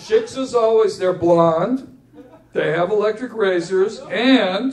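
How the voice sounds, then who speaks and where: Very slow speech with ordinary pitch variation over noticeable background noise. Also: man, high pitch for a man. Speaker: poet. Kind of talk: live memoir reading to audience. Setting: live venue with audience. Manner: humorous, joke-telling.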